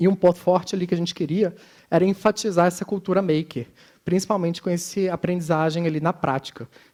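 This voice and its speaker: In a Minas Gerais accent, a man talks at a very fast pace and a high pitch with fairly even intonation, in a dry, close sound with no echo. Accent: Minas Gerais (mineiro). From Minas Gerais, Brazil. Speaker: conference speaker, design educator. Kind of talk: conference talk.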